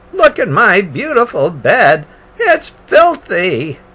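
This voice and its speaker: A man speaks in a put-on character voice pitched extremely high. His delivery is very slow. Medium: read story. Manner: fretful, exclaims "oh my goodness".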